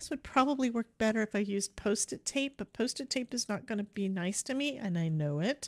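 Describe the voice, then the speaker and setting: Quiet and fairly high-pitched, a woman talks at a fairly quick pace with lively intonation and hardly any pauses, on a very clean recording with a silent background and a dry, close sound with no echo. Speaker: cardmaking livestream host. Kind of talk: casual livestream tutorial chat.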